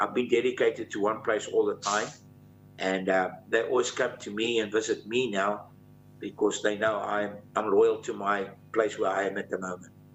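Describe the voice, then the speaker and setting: There is music in the background. A man speaks at a moderate pace. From South Africa, Johannesburg. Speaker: country musician. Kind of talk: interview.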